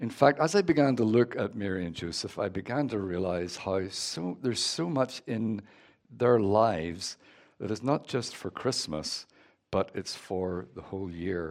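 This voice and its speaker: On a very clean recording with a silent background, a man with a Northern Irish accent talks at a moderate pace, his fairly low voice carrying lively intonation. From Northern Ireland. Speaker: guest preacher. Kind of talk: sermon. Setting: church.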